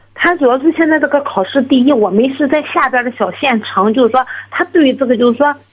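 Over noticeable background noise, a woman speaks at a high pitch and a very fast pace. Her loudness stays very even, with ordinary pitch variation. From Shandong, Jining. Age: 30s. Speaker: caller seeking exam advice. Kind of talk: phone-in advice call. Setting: phone call.

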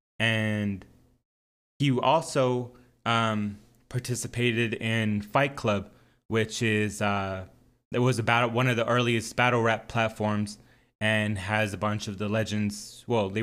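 Against a silent background in a very clean recording, a man speaks in a fairly low, flat monotone. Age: 30s. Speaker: podcast host, former amateur battle rapper. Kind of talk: casual solo monologue. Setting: home studio, recording alone.

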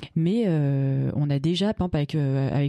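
A woman with a very deep, low voice and ordinary pitch variation, in a dry, close sound with no echo. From Paris region, France. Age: 40s. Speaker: feminist activist. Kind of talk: personal testimony. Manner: halting.

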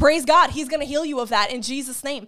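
A woman speaks in a high, bright, sharp voice with ordinary pitch variation. Her tone is intense and animated. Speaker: online preacher. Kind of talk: fervent prayer, spoken as an intercession over viewers; sermon-style teaching on healing. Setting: live online broadcast. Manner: intense, earnest and pleading, with a rising rhythm; animated, warm, encouraging.

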